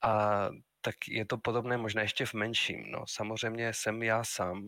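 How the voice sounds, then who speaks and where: A man with a Spanish accent speaks in a fairly low pitch with a bright, sharp tone and monotone, flat intonation. The recording is very clean, with a silent background and a dry, close sound with no echo. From Spain, Madrid. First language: Spanish (speaking Czech). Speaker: university lecturer and game publisher. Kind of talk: casual interview.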